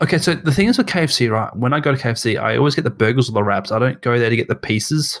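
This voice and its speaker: This man has an Australian accent, a medium pitch and ordinary pitch variation, and his loudness stays very even. He speaks at a very fast pace with hardly any pauses, on a very clean recording with a silent background. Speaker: podcast co-host. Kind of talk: casual chat. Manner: halting.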